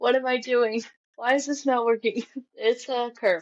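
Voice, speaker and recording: This is a woman speaking with an American accent. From Missouri, Kansas City suburbs and rural Warsaw area. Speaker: hunter and small business owner. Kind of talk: casual chat.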